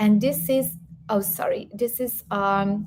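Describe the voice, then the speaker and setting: A woman speaks at a fairly slow pace with a Serbian accent. Her voice is somewhat breathy, with a dark, mellow tone. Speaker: health coach and YouTuber. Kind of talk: live stream Q&A. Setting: live stream.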